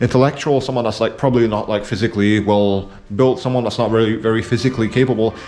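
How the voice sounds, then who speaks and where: A man mumbles at a very fast pace. His medium pitch stays at fairly even intonation. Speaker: video essayist. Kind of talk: casual monologue. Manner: mumbling; halting, many fillers.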